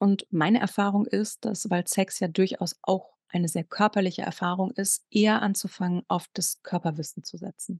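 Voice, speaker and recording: Somewhat breathy, a woman speaks with fairly even intonation and hardly any pauses. The sound is dry and close with no echo. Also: medium pitch for a woman, moderate pace. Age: 40s. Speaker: sex coach. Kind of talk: casual interview.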